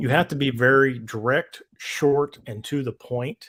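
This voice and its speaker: This is a man with an American accent. His pitch sits in the medium range. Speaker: movie YouTuber and former paramedic. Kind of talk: casual livestream chat. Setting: livestream with guests. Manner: monotone; direct and to the point.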